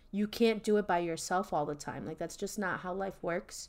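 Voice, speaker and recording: A plain, everyday voice from a woman at medium pitch, with fairly even intonation, a moderate pace and a very clean recording with a silent background. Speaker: podcast host. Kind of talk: casual chat.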